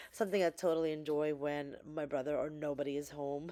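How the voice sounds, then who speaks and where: A woman talks with a New Jersey accent. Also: very clean recording, silent background. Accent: New Jersey American. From New Jersey, US (born in the Philippines). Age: 30s. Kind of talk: casual talk to camera.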